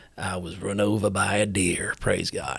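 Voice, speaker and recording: Putting on a character voice, a man sounds raspy, his pitch fairly low and his pace moderate. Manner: earnest, pious.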